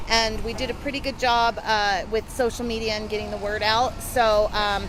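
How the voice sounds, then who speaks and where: Audible room echo and noticeable background noise surround a woman whose fairly high voice moves at a moderate pace. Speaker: activist group regional leader. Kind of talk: casual chat. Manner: loud; animated.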